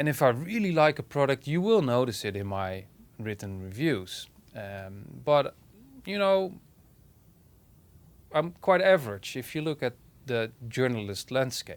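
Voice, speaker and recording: Pausing long and often at a fairly slow pace, a man with a Dutch accent and a medium pitch makes very wide pitch swings on a very clean recording with a silent background. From Netherlands. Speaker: hi-fi reviewer and online publisher. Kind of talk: personal opinion monologue. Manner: halting.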